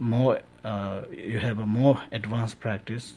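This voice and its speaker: A man with a Tibetan accent speaks at a fairly slow pace and a medium pitch. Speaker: Tibetan Buddhist lama. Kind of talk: radio interview answer on Buddhist teaching.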